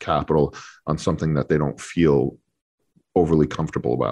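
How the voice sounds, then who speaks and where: A man's very deep, low voice in an American accent, fairly quick and monotone, over a quiet background. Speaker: hockey journalist. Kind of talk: radio interview.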